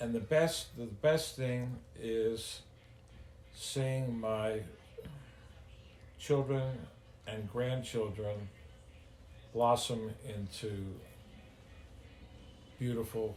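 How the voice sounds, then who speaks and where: With audible room echo, a somewhat breathy man at medium pitch speaks very slowly with fairly even intonation and long, frequent pauses. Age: 70s. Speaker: grandfather, business owner. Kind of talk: interview. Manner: halting.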